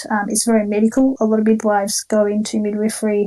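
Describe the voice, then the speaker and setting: This woman has an Australian accent and a fairly high pitch. She talks at a moderate pace. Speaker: diabetes educator and nurse. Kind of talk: online talk. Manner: hesitant, many fillers.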